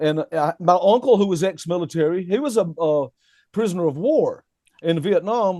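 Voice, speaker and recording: A man with a Southern US accent speaks at a high pitch and a moderate pace, his tone dark and mellow, with a dry, close sound, no echo and a quiet background. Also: ordinary pitch variation. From US South. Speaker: rock guitarist. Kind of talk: casual chat. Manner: animated.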